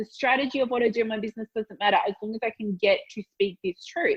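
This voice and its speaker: Speaking very fast with an Australian accent, a woman has a somewhat breathy voice at a fairly high pitch. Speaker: business mentor. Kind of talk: interview answer.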